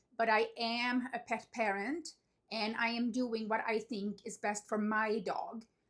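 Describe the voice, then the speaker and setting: A woman has an ordinary speaking voice, fairly high in pitch, with fairly even intonation at a fairly slow pace. The recording is very clean, with a silent background. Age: 50s. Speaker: dog owner vlogger. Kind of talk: casual talk to camera.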